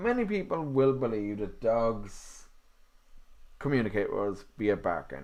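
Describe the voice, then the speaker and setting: A man with an Irish accent speaks at a very slow pace, leaving long, frequent pauses, with audible room echo around him. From Ireland. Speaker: podcast host and canine psychology student. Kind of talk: live stream talk on dog behaviour. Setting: live stream video. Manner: casual, with fillers.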